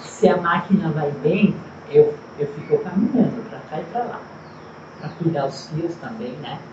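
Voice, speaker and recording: With lively intonation and big swings in loudness, a woman with a fairly low pitch speaks at a moderate pace with long, frequent pauses, amid audible room echo and noticeable background noise. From Rio Grande do Sul, Brazil (Casca). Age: 60s. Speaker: textile factory worker. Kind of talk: interview.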